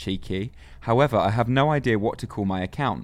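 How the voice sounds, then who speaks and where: Someone with a North London accent speaks with ordinary pitch variation in a very clean recording with a silent background. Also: man. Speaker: guest. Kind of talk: casual chat.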